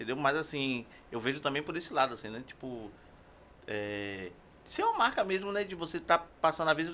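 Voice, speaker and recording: Over noticeable background noise, a man with a fairly high pitch talks at a fairly quick pace, his pitch swinging very widely between long, frequent pauses. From Brazil, Castelo Branco. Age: 50s. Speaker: tattoo artist and musician. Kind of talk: casual chat.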